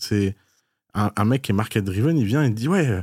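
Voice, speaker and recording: In an ordinary speaking voice, a man of medium pitch talks at a fairly quick pace with lively intonation. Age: 30s. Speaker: podcast host and entrepreneur. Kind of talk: casual chat.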